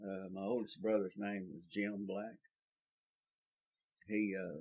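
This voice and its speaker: With a South Texas accent, a man speaks at a fairly low pitch. His intonation is fairly even and his pace fairly slow. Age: 70s. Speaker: oral history interviewee. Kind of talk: oral history interview. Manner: halting, many fillers.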